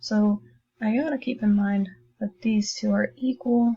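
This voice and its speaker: Soft-spoken and somewhat breathy, a woman talks at medium pitch with a dark, mellow tone. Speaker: math teacher. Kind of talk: tutorial. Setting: recorded lesson video. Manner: casual.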